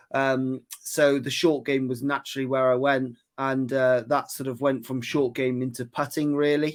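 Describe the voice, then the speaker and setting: A man's medium-pitched voice in a Welsh accent, monotone and flat, at a moderate pace with hardly any pauses, on a very clean recording with a silent background. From West Wales. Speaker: golf putting coach. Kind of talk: interview.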